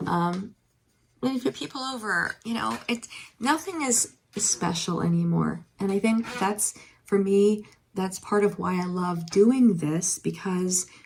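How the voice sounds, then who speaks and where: Her intonation lively and her pace fairly slow, a woman with an American accent sounds somewhat breathy. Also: medium pitch for a woman. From eastern Pennsylvania, Allentown area. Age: 50s. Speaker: nurse and online reseller vlogger. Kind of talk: casual haul vlog. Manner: hesitant, many fillers.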